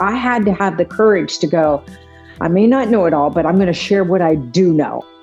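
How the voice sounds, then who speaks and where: With music in the background, a woman speaks in an upbeat, energetic tone. Her pitch is fairly low, with lively intonation. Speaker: ring announcer. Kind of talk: interview answer.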